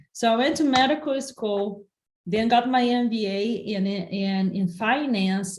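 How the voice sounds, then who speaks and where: The woman talks at a fairly slow pace. Her voice is somewhat breathy and fairly high in pitch. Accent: Brazilian Portuguese. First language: Portuguese. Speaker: entrepreneur and investor. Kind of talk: interview.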